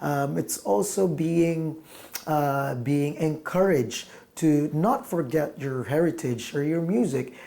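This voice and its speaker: The speaker talks with a Filipino accent. The pace is very slow. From Philippines. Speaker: musician. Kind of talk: interview. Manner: halting, many fillers.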